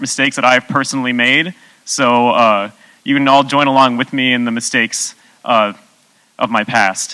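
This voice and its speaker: Ordinary pitch variation and a bright, sharp tone mark a man's fairly quick delivery. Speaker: software developer giving conference talk. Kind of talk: conference talk. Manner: fast.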